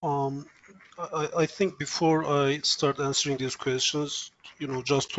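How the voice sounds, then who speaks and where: This man has a fairly high pitch and fairly even intonation. He talks at a fairly slow pace. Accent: Turkish. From Turkey. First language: Turkish. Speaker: software engineer, interview guest. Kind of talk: interview. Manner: hesitant, frequent fillers.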